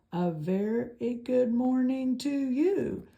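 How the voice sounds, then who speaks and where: Speaking very slowly, a female-sounding put-on character voice rises to a high pitch for a woman. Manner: friendly, booming.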